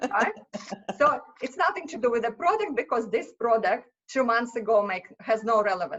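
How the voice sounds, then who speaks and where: A woman with a Russian accent, fairly high in pitch, at a moderate pace with lively intonation. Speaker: small business owner. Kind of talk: podcast interview.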